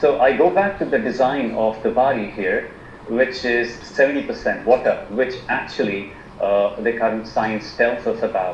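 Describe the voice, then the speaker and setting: A man speaks with an Indian accent. Noticeable background noise can be heard. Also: moderate pace. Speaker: alternative medicine practitioner. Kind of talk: presentation on a video call. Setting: video call. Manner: halting, many fillers and repetitions.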